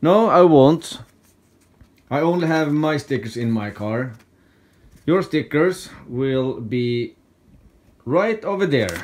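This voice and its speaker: With a Swedish accent and long, frequent pauses, a man speaks very slowly in a fairly high pitch with lively intonation. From Sweden. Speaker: YouTuber, scrap metal hobbyist; YouTuber. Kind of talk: casual vlog talk. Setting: at home. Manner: halting. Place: home room. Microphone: phone near.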